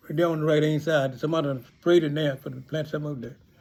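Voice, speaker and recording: Somewhat breathy, a man speaks with fairly even intonation at a fairly high pitch. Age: 90s. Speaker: retired pastor and farmer. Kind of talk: casual storytelling. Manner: halting, with false starts.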